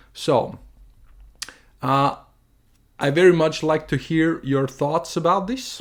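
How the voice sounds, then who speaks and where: Someone speaks very slowly in a German accent. The recording is very clean, with a silent background. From Germany. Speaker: artist and video creator. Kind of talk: opinion monologue. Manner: halting, with fillers and restarts.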